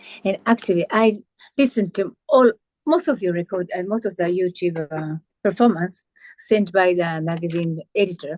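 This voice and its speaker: A woman with a Japanese accent speaks in a dry, close sound with no echo. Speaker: pianist and interviewer. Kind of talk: interview. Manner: halting.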